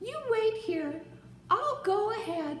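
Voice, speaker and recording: A cartoonish character voice at an extremely high pitch talks at a fairly slow pace. Light background noise and a slight echo sit behind it. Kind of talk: puppet joke telling to camera. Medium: puppet. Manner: upbeat, excited.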